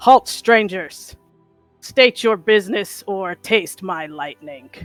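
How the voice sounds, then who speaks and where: In a put-on character voice, a female-sounding speaker booms loudly at medium pitch and a very slow pace. Faint music plays in the background. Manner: menacing, commanding, dramatic.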